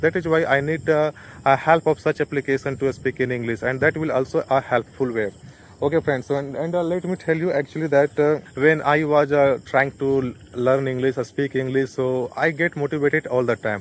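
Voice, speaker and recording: In an Indian accent, a man speaks at a fairly quick pace with a fairly high pitch and fairly even intonation, the sound dry and close with no echo. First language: Hindi. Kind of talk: casual talk to camera. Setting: outdoors. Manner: hesitant, many fillers.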